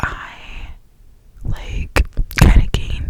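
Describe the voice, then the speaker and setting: A woman is whispering against noticeable background noise. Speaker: ASMR creator. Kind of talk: ASMR whisper ramble. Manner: whispered, soft-spoken.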